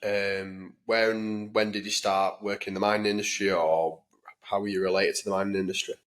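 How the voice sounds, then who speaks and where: A man speaks at a fairly quick pace in a fairly low voice, his intonation monotone and flat. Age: 20s. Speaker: podcast host. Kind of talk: interview. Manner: hesitant, uses um.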